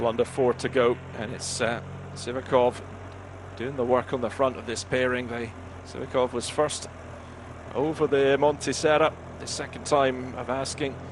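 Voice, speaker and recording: In a Scottish accent, the speaker keeps a moderate pace with fairly even intonation and long, frequent pauses. Noticeable background noise sits behind the voice. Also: man, medium pitch for a man. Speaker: cycling commentator. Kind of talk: live commentary.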